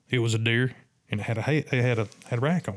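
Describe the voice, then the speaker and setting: A man with a Southern US accent. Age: 50s. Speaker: turkey hunter and hunting guide. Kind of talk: casual interview storytelling. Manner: animated.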